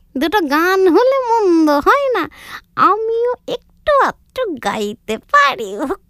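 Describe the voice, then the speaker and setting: A cartoonish character voice pitched extremely high, delivered at a very slow pace. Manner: greedy, blunt.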